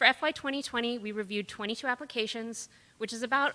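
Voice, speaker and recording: A woman talks at a fairly quick pace with a bright, sharp tone and ordinary pitch variation. The recording is very clean, with a silent background. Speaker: advisory board vice chair speaking at public comment. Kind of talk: public comment at county board meeting. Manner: fast.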